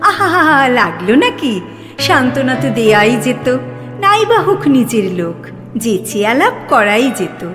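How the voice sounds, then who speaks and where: Over music in the background, a woman with a fairly high pitch speaks in very wide pitch swings. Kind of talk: poetry reading. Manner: soft-spoken.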